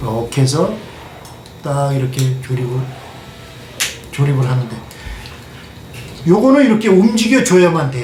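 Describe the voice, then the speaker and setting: A man's pitch swings very widely as noticeable background noise and audible room echo surround him. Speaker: kitchenware manufacturer. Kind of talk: product demonstration. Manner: hesitant, many fillers.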